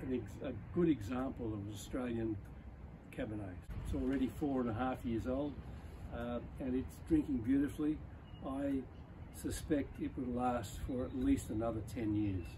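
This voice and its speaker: Over noticeable background noise, a man speaks at a moderate pace with ordinary pitch variation and long, frequent pauses. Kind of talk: wine tasting presentation. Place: open country. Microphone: camera far.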